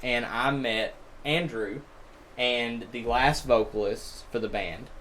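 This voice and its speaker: A man at a fairly slow pace, with audible room echo. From Alabama, small town. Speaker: bassist in a metal band. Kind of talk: casual chat.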